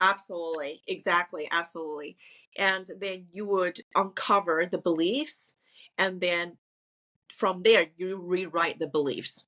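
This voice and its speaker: Fairly slow delivery from a woman, medium in pitch. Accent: non-native. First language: not English. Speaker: podcast host. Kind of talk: interview conversation. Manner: halting, searches for words.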